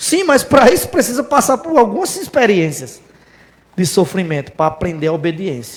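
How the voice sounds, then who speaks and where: There is noticeable background noise as a man talks at a moderate pace. His high voice makes very wide pitch swings. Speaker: preacher. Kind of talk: sermon. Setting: church.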